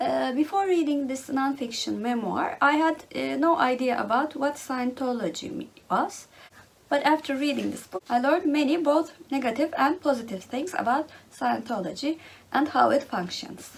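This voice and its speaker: Lively intonation marks this woman's high voice. She speaks with a Turkish accent. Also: moderate pace. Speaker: book vlogger. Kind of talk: casual monologue. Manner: halting, many fillers.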